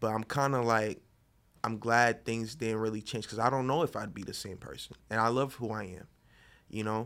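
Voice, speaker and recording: In a very clean recording with a silent background, a man with a plain, everyday voice speaks fairly quickly at a medium pitch, his pitch varying in an ordinary way. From Florida (Boynton Beach, Palm Beach County). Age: 20s. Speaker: painter. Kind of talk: casual chat.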